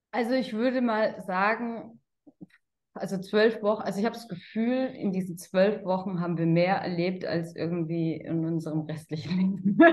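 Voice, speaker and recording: Using an unremarkable speaking voice, a woman at medium pitch talks at a moderate pace with ordinary pitch variation. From Germany, Karlsruhe. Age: 30s. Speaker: sales consultant. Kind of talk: interview.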